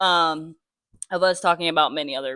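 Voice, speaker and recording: Recorded very cleanly against a silent background, a woman with a fairly low pitch sounds dry and close, with no echo. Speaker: film review youtuber. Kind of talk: casual chat. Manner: soft-spoken; trying to talk louder.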